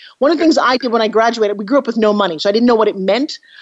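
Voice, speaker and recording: A woman's fairly high, energetic voice with lively intonation over noticeable background noise. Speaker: TV host and motivational speaker. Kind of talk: interview.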